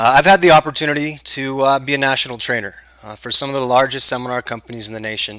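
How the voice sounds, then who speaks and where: Bright and sharp in tone, a man speaks very fast at medium pitch. His loudness swings widely while his pitch varies in an ordinary way. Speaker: tax lien investment trainer. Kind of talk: webinar presentation. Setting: recorded online webinar. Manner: animated.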